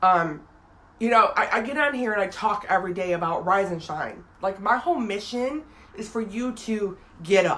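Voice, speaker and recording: Noticeable background noise sits behind this voice. A woman speaks at a medium pitch. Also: moderate pace. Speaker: inspirational video blogger. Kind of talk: casual live talk to viewers. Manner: casual, hesitant with repetitions.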